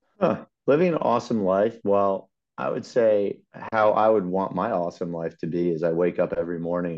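Very deep and low, a man's voice carries an American accent and ordinary pitch variation. He talks at a fairly quick pace. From Long Island, New York. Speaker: insurance agent, former baseball pitcher. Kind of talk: casual chat.

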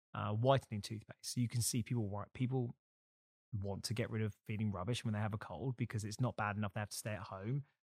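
Fairly low in pitch, a man with an unremarkable speaking voice talks fairly quickly with fairly even intonation. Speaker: podcast host. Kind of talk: interview.

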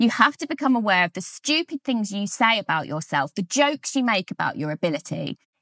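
Speaking with a British accent, the voice moves at a fairly quick pace with an energetic tone, very wide pitch swings and hardly any pauses, in a dry, close sound with no echo. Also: woman. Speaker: podcast host and author. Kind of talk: solo podcast monologue.

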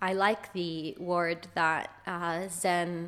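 A woman with an American accent, fairly low in pitch, with monotone, flat intonation, in a very clean recording with a silent background. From Israel, then US from age 10. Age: 30s. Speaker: yoga teacher. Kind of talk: casual interview. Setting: apartment in Dublin.

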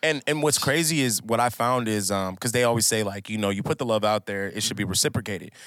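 In an American accent, a man with a fairly low pitch talks at a very fast pace with hardly any pauses and ordinary pitch variation on a very clean recording with a silent background. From Minnesota, US. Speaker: musician. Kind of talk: casual chat.

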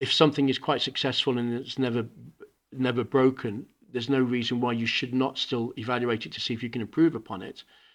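A man with a British accent talks at a very fast pace. His intonation is fairly even. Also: medium pitch for a man. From Hong Kong, international school. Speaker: school principal. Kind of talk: interview. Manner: halting, repeats words.

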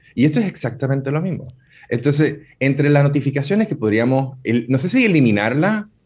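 Here a man speaks at a medium pitch with lively intonation. His voice is somewhat breathy. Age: 40s. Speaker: digital marketing speaker. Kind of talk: radio interview.

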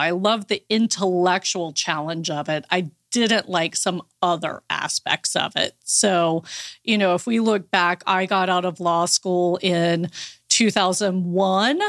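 In a very clean recording with a silent background and a dry, close sound with no echo, a woman with an unremarkable speaking voice talks at a fairly slow pace, her medium pitch showing ordinary variation and her loudness very even. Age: 40s. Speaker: life coach for women entrepreneurs, former attorney. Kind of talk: interview.

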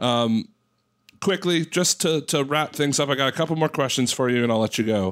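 An unremarkable speaking voice belongs to a man with a fairly high pitch, ordinary pitch variation and very even loudness, moving at a fairly quick pace. The recording is very clean, with a silent background. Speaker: podcast host and caster. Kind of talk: casual podcast chat and interview.

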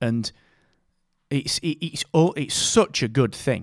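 With a Yorkshire accent and lively intonation, a man speaks in a very clean recording with a silent background and a dry, close sound with no echo. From northern England, Barnsley (South Yorkshire). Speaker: podcast company co-founder and CEO. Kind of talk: casual interview chat.

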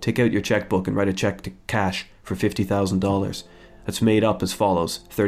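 Here someone is reading aloud in a natural voice.

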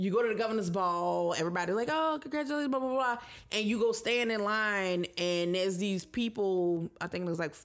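A woman speaks at a moderate pace with an unremarkable speaking voice and lively intonation. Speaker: podcast co-host. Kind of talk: casual chat.

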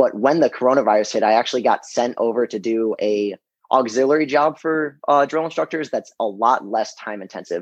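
At a fairly quick pace, a man uses a normal speaking voice with ordinary pitch variation, in a dry, close sound with no echo and a quiet background. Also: medium pitch for a man. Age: 20s. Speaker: Marine Corps drill instructor, real estate investor. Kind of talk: interview.

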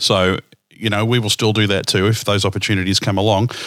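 Captured on a very clean recording with a silent background, a man speaks with an Australian accent. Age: 50s. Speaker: podcast host. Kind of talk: casual chat.

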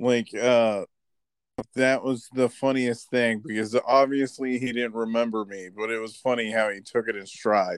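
Monotone, flat intonation marks this moderate-paced voice with an American accent. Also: man, medium pitch for a man. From Florida or California, US. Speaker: wrestling podcast host. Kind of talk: casual chat.

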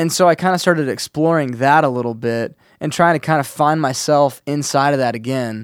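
A man with an ordinary speaking voice talks at a fairly quick pace with hardly any pauses, his pitch fairly high and his pitch variation ordinary, on a very clean recording with a silent background. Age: 30s. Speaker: musician. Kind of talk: casual chat. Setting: studio.

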